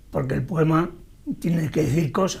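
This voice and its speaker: Amid noticeable background noise and audible room echo, a man with an Andalusian accent speaks with ordinary pitch variation. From Andalusia, Spain (Andújar, Jaén). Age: 70s. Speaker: poet. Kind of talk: interview. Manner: halting, with repetitions.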